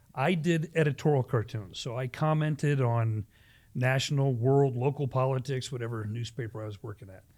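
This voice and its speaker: A man with an American accent speaks at a medium pitch and a moderate pace, somewhat breathy and with ordinary pitch variation. The recording is very clean, with a silent background. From US Midwest, Ohio near Cleveland. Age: 60s. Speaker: pastor. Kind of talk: casual chat.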